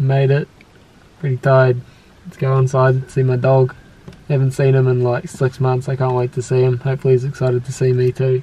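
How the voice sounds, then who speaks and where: A man speaks at a fairly quick pace. His intonation is monotone and flat. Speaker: car vlogger. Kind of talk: casual vlog chat. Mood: happy, looking forward. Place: car. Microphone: phone near.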